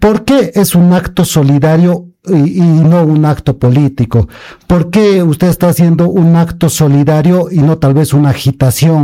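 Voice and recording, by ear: With a dark, mellow tone and fairly high pitch, a man talks at a moderate pace with few pauses.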